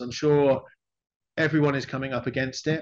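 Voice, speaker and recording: Noticeable background noise accompanies this man. His fairly high voice moves fairly quickly with ordinary pitch variation. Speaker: English language teacher and researcher; presenter, educator. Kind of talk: academic seminar presentation. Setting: video call. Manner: fast talker. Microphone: video call.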